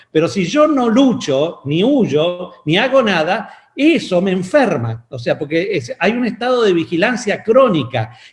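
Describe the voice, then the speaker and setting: Speaking at a fairly slow pace, a man with a high pitch moves through very wide pitch swings. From Argentina (Mendoza). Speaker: pastor and physician. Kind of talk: sermon.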